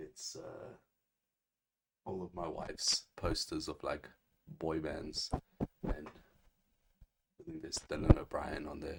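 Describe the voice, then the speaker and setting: Very slowly and with long, frequent pauses, a man talks in big swings of loudness. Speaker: comic book streamer. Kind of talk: casual livestream talk show. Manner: halting, many fillers.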